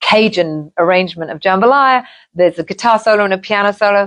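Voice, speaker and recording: Against a quiet background, a woman with an English accent talks at a moderate pace with ordinary pitch variation. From England. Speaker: singer. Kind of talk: interview.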